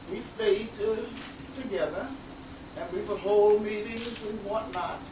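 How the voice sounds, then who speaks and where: Audible room echo along with noticeable background noise. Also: woman. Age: 90s. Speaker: theater founder and award recipient. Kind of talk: award acceptance speech.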